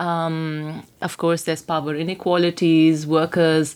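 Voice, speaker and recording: This is a woman speaking. Her pitch is fairly low. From India. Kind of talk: casual chat. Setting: studio.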